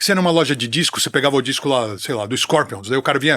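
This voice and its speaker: A man talks at a very fast pace. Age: 60s. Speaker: music TV presenter and metal commentator. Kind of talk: casual chat.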